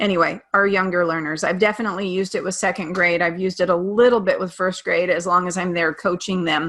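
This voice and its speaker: A woman speaks in a plain, everyday voice at a medium pitch with ordinary pitch variation. The recording is very clean, with a silent background. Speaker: teacher. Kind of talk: presentation.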